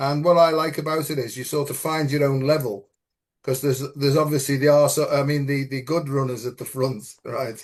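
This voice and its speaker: A man with an English accent speaks at a fairly high pitch with fairly even intonation. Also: fairly quick pace. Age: 70s. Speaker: spiritual teacher. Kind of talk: casual chat.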